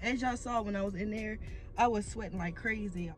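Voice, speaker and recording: There is faint music in the background and a dry sound with no echo. A woman talks at a fairly quick pace. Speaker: fitness vlogger. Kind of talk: casual vlog chat. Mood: upbeat, proud. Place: car. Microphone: phone near.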